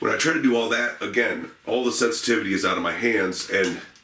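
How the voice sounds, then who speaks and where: A man is speaking. The recording has noticeable background noise and audible room echo. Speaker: gun reviewer. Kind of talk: product review. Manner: hesitant, many fillers.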